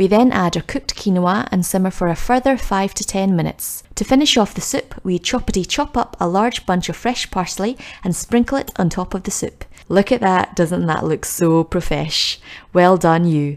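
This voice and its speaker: In a Scottish accent, a woman talks at a moderate pace and medium pitch, her tone upbeat and cheerful and her intonation lively. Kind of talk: cooking tutorial voice-over. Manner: upbeat, cheerful.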